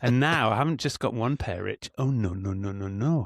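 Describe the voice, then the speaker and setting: A man with an English accent and lively intonation is heard on a very clean recording with a silent background and a dry, close sound with no echo. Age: middle-aged. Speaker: podcast co-host. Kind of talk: casual chat. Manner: animated.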